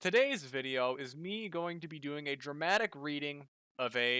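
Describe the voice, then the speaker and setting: A man speaks with lively intonation and a bright, sharp tone. The sound is dry and close with no echo, on a very clean recording with a silent background. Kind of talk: casual talk to camera.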